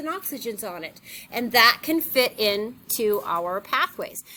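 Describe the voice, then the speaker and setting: With a bright, sharp tone, a woman's voice swings very widely in pitch. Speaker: high school biology teacher. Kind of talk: lecture.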